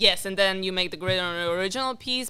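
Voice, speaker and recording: This woman's voice has a bright, sharp tone and a non-native accent. Room echo can be heard around her. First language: not English. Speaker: amateur painter. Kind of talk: casual chat. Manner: halting.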